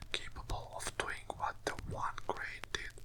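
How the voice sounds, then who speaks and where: The speaker whispers at a very slow pace. Noticeable background noise can be heard. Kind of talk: ASMR book reading. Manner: whispered, soft.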